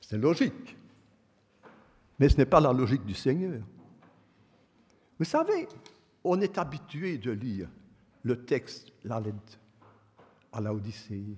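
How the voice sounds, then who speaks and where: Slightly breathy, a man speaks at a very slow pace with long, frequent pauses, his medium pitch making very wide swings. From Belgium, Verviers (Wallonia). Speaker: preacher. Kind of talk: sermon.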